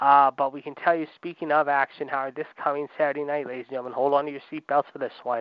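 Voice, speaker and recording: A man with a fairly high pitch speaks in a monotone, with flat intonation. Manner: bombastic, loud, showman-style pro-wrestling announcer cadence; rapid, punchy delivery, peppered with "ladies and gentlemen" and "if you will".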